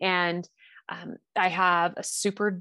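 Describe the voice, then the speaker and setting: This woman's voice sits at a medium pitch. The sound is dry and close with no echo, over a quiet background. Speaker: wellness coach. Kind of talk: casual chat. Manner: halting.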